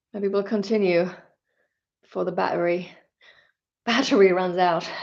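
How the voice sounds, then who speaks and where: With audible room echo, a woman of medium pitch talks at a moderate pace with fairly even intonation. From Finland. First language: Finnish. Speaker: YouTuber reading poetry. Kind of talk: casual live stream chat. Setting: live stream on a tablet. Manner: halting, with restarts.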